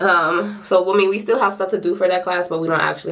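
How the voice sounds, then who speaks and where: A woman's speech carries audible room echo, with noticeable background noise behind it. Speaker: nursing student vlogger. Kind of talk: vlog. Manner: casual, filler-heavy; fast.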